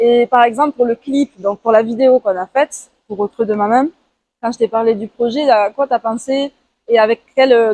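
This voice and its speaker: A dark, mellow woman's voice, fairly high in pitch, dry and close with no echo. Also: fairly even intonation, moderate pace. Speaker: artist podcast host, musician. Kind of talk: casual interview. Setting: outdoors, walking in Toulouse.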